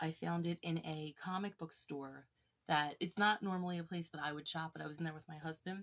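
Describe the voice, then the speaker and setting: A woman speaks quietly at a moderate pace. Her pitch is fairly low. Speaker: YouTuber showing her collection. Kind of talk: casual show-and-tell vlog.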